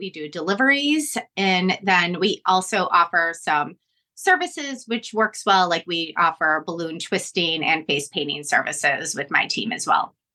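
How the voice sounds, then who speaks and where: A woman in a Chicago accent, bright and sharp in tone, with very wide pitch swings. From Northwest Indiana, Chicago area. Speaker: balloon business owner. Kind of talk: podcast interview.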